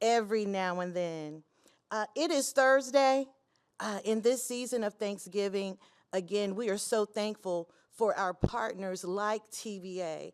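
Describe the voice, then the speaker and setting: In a very clean recording with a silent background, a woman with a Tennessee accent talks at a fairly slow pace with a fairly high pitch. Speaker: state apprenticeship official. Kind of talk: conference speech.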